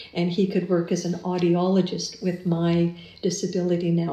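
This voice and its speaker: In a dark, mellow tone, somewhat breathy, the speaker talks at a moderate pace with monotone, flat intonation and audible room echo. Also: woman. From Canada, Winnipeg. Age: 50s. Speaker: retired teacher and musician. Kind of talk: interview.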